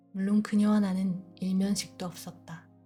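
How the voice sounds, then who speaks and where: A woman's calm, soothing voice at a fairly slow pace, with music in the background. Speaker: audiobook narrator. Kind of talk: sleep audiobook reading.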